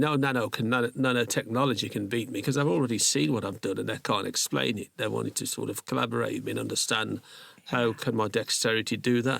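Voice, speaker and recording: The speaker races along at a very fast pace with lively intonation and vocal fry. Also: man, medium pitch for a man. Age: 60s. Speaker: microsculptor artist. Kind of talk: casual chat. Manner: animated.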